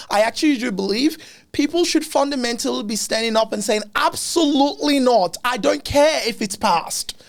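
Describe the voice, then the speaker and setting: A man's animated tone and lively intonation, with music in the background. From Africa. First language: not English. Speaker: podcast host. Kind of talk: casual interview chat.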